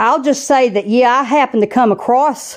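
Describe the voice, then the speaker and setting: A woman with a strong Southern US accent. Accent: thick Southern US. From US South (southeastern US). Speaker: channel host, spiritual vlogger. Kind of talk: personal monologue vlog. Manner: casual with frequent fillers.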